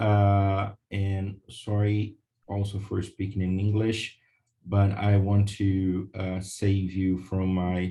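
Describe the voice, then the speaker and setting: A man's dark, mellow voice with a Portuguese accent, fairly low in pitch and somewhat breathy, in a flat monotone at a very slow pace. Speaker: lawyer. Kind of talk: webinar presentation. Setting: video call. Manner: hesitant, many fillers.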